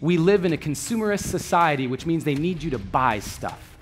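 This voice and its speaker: A man's fairly high voice with lively intonation over music in the background. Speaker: spoken word artist and motivational speaker. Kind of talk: motivational talk on stage.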